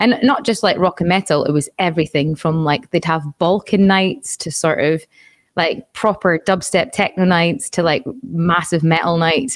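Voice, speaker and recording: A woman's fairly low voice with a Scottish accent, fairly quick pace and ordinary pitch variation, in a very clean recording with a silent background and a dry, close sound with no echo. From Scotland. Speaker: audio engineer and musician. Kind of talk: casual chat.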